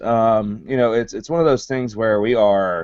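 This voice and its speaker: Here a man speaks in a Southern US accent. His pitch variation is ordinary. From US South. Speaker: wrestling show host. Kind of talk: live show discussion.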